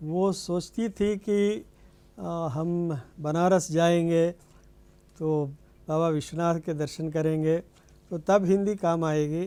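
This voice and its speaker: A dark, mellow tone in a Telangana accent, with fairly even intonation and long, frequent pauses. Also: man, high pitch for a man. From India, Andhra Pradesh (East Godavari). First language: Telugu (speaking Hindi). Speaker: Hindi professor. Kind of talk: TV interview.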